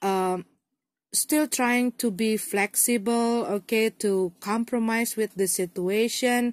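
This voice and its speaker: A woman with an Indonesian accent speaks very slowly at a fairly high pitch, her intonation fairly even and her loudness very even, in a dry, close recording with no echo, very clean and with a silent background. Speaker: tarot reader. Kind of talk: tarot reading to camera.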